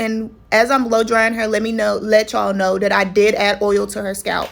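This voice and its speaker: A woman speaks with a Texan accent. Her pitch is fairly high. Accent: Texas country. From Texas. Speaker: loctician. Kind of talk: tutorial voiceover. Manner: casual.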